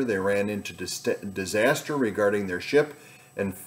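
Ordinary pitch variation in a male voice. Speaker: pastor giving devotion. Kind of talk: devotional talk. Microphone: webcam.

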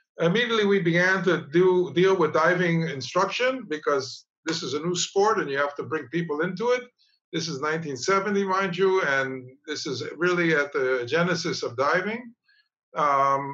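A man's high, bright, sharp voice at a moderate pace, with ordinary pitch variation and a quiet background. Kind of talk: presentation talk with slides. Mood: warm, reminiscing, light humor. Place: home room. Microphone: webcam.

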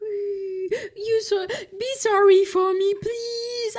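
In a put-on character voice, a woman speaks at a very slow pace with an extremely high pitch. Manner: mock crying, pleading.

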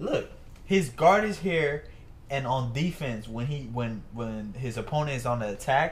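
Against light background noise, a man speaks at a fairly slow pace with lively intonation. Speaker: reaction streamer. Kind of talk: casual reaction commentary.

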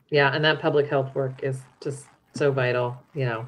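In a very deep, low, somewhat breathy voice, a woman speaks at a moderate pace with fairly even intonation. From US West, Utah (Salt Lake City). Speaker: nonprofit program director. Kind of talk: interview conversation. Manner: hesitant, many fillers.

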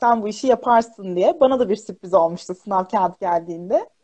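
A woman talking at a fairly quick pace, her intonation lively, over a quiet background. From central Anatolia, Kırşehir; Central Anatolia. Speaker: primary school teacher. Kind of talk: casual interview. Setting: live video stream. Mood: warm, smiling, chatty. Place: home room. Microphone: video call.

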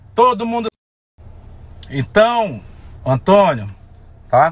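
A man with a high voice speaks with very wide pitch swings in a dry sound with no echo. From Amazonas, Brazil. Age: 30s. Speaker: folk festival singer. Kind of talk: angry rant to camera. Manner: heated, emphatic. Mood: angry, confrontational. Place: car. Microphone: phone near.

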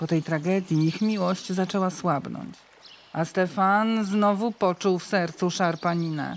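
Speaking fairly slowly, a woman uses a plain, everyday voice with fairly even intonation. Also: medium pitch for a woman. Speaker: voice-over reader. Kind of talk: folk-dialect storytelling podcast narration.

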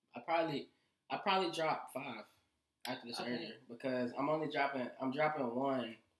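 A man talks fairly quickly at a fairly high pitch with ordinary pitch variation. Audible room echo surrounds the voice. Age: young. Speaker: musician. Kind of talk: casual chat. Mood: relaxed, earnest. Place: home room.

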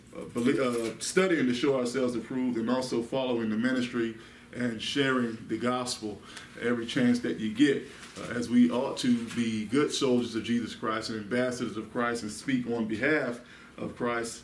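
A man speaks at a moderate pace with fairly even intonation, audible room echo and light background noise. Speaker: Bible study teacher. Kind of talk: sermon. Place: meeting room. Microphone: camera far.

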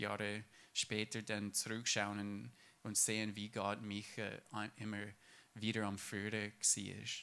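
A man's fairly low voice with a bright, sharp tone, an English accent and a very slow pace. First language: English (speaking German). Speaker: church member. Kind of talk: testimony. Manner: halting.

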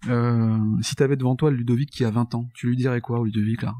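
A man's medium-pitched voice, dark and mellow in tone, with fairly even intonation and a fairly quick pace, in a dry, close sound with no echo on a very clean recording over a silent background. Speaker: podcast host. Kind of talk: interview conversation. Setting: guest's office.

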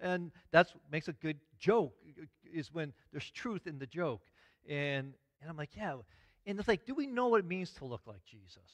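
A man at a moderate pace, with long, frequent pauses and big swings in loudness over a quiet background. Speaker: pastor. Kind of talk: sermon. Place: church.

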